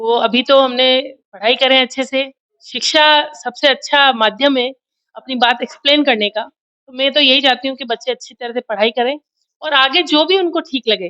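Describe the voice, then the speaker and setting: A high-pitched woman's raised, projected voice with ordinary pitch variation. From Mewar, Rajasthan (Udaipur region). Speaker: politician. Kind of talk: interview.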